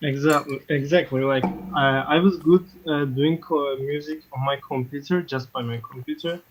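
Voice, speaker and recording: Non-native accent at a moderate pace. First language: not English. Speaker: caller, beatmaker. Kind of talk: casual chat. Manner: hesitant, many fillers.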